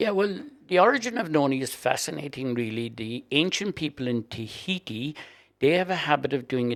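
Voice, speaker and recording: In a Cork accent, a man talks at a fairly quick pace with lively intonation. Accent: Irish (Cork). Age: 70s. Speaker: guest sharing health story. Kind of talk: interview.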